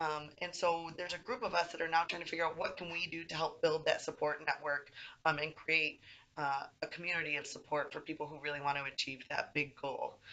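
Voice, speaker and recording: A woman speaks at a fairly quick pace in an enthusiastic tone, her pitch very deep and low. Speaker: university recreation administrator. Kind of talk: application video talk to camera.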